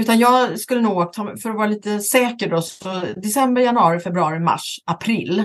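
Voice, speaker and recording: Over noticeable background noise, a woman speaks at a fairly high pitch with ordinary pitch variation. Her pace is moderate, with hardly any pauses. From western Sweden, Gothenburg area. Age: 50s. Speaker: talent agent, company founder. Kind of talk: interview.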